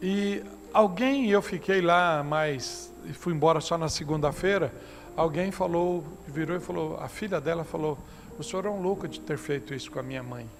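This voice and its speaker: A man's high-pitched voice at a moderate pace, with audible room echo and noticeable background noise. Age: 60s. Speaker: pastor. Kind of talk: sermon. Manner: conversational, anecdotal preaching.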